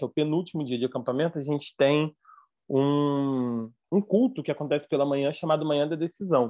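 A man speaks with a Rio de Janeiro accent at a fairly quick pace. His pitch is fairly high, with ordinary variation. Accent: carioca. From Rio de Janeiro, Brazil. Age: 20s. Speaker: theologian and former youth pastor. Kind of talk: casual chat.

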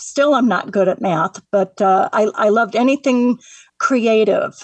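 Recorded dry and close with no echo, a woman with an American accent and an ordinary speaking voice talks at a moderate pace and very even loudness, her fairly high pitch showing ordinary variation. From Northwest Indiana. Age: 60s. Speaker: woodworking artist, retired secretary. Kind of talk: radio interview.

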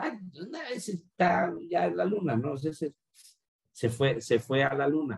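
A man's voice with vocal fry, very wide pitch swings and a fairly slow pace. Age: 40s. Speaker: marketing director. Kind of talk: interview. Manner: halting, many repetitions.

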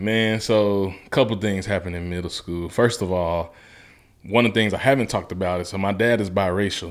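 A man with a Southern US accent, fairly low pitch and fairly quick pace, in a very clean recording with a silent background. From US South, Mississippi. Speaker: motivational speaker. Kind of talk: casual interview. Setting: studio. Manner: animated.

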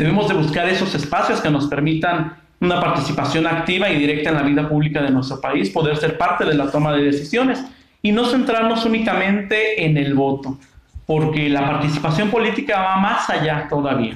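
A man with a Mexican accent speaks at a fairly high pitch and very even loudness. Audible room echo and noticeable background noise surround him. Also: lively intonation, fairly quick pace. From Mexico, Michoacán. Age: 20s. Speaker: university lecturer and civil servant. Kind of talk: interview.

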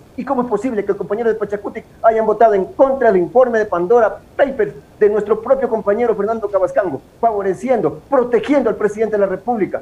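Speaking very fast with hardly any pauses, a man uses a high voice and ordinary pitch variation over noticeable background noise. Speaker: politician. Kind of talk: interview. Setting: video call.

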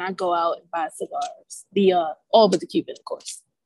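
A woman with an American accent has a plain, everyday voice at medium pitch, with ordinary pitch variation and a dry, close sound with no echo. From Baltimore, US. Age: young. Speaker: cigar and skincare brand founder. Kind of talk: casual interview.

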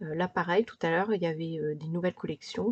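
The woman's dark, mellow tone comes through in a dry, close sound with no echo. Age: 40s. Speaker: podcaster and lifestyle blogger. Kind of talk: solo podcast monologue giving practical advice. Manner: casual with frequent hesitations.

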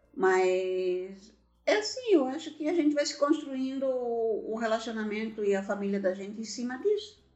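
Over noticeable background noise, the voice moves at a moderate pace with lively intonation. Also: woman, fairly high pitch for a woman. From Santa Catarina, Brazil (Gaspar/Blumenau). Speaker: podcast host's mother. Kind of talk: casual chat.

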